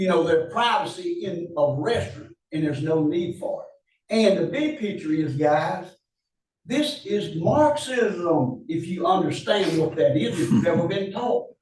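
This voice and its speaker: A man's high voice with lively intonation, at a fairly slow pace, with audible room echo. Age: 70s. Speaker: public commenter at county meeting, retired teacher. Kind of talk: public comment. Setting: public meeting. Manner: impassioned.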